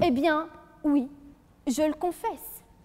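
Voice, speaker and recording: Over noticeable background noise, a woman speaks with a slight Franche-Comté accent. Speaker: law student, eloquence contestant. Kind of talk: competitive oratory speech. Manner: formal, rhetorical.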